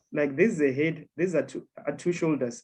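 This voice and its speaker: A man speaks in a normal speaking voice with a fairly high pitch. His pace is moderate, with ordinary pitch variation. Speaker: trading mentor. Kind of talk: online trading lesson. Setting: video call.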